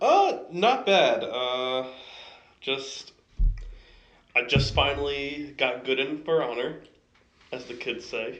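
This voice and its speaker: Speaking at a very slow pace, a man leaves long, frequent pauses. Audible room echo is present. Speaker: podcast co-host. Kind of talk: casual chat.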